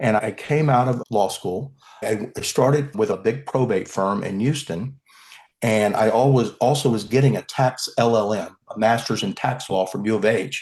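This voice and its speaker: A Texan accent at a moderate pace. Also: man, medium pitch for a man, ordinary pitch variation. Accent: Texan American English. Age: 60s. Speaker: criminal defence lawyer. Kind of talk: podcast interview.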